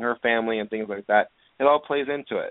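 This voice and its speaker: Here is a man with an unremarkable speaking voice at medium pitch. He talks at a fairly quick pace. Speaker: podcast host. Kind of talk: casual chat. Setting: online radio show, phone-in. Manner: excitable, chatty.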